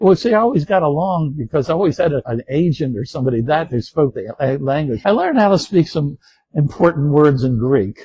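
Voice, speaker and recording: Here a man with an American accent talks at a fairly quick pace. His voice is somewhat breathy and his intonation lively. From Baltimore, US Mid-Atlantic. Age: 70s. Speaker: retired navy officer, war veteran. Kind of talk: interview, personal reminiscence. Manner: relaxed, conversational.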